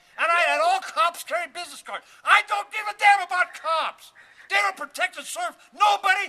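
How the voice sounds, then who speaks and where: Raised and projected, a man's voice rings bright and sharp at an extremely high pitch, moving at a moderate pace with big swings in loudness. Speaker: castle builder. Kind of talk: rant. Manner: repetitive stammering.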